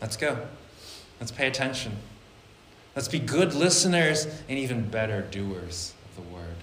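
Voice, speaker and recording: A man with a medium-pitched voice talks at a moderate pace, with long, frequent pauses, very wide pitch swings and big swings in loudness. Audible room echo and noticeable background noise come through. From Vietnamese-American church community. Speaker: pastor. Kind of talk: sermon. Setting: church.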